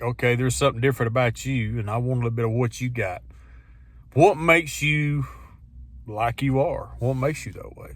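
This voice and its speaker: The speaker has an ordinary speaking voice at a moderate pace. The pitch shows ordinary variation. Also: man. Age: 50s. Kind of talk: casual talk to camera. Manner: reflective, conversational.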